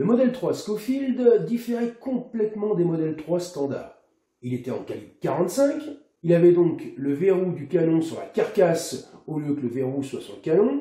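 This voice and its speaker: A man speaks fairly slowly in a dark, mellow tone at a high pitch. His pitch swings very widely. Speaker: airgun and replica weapon reviewer. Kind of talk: history narration to camera. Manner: casual, conversational.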